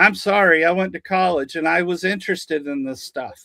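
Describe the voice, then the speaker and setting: A man talks at a fairly quick pace with a high pitch. His raised, projected voice has a bright, sharp tone. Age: 50s. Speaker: Gulf War veteran. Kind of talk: casual chat. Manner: animated.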